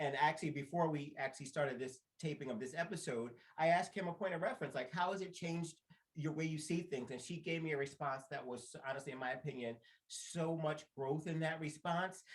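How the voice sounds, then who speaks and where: A man speaks at a fairly quick pace in an animated tone, his fairly high pitch showing ordinary pitch variation. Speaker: podcast co-host. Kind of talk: casual chat. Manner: fast.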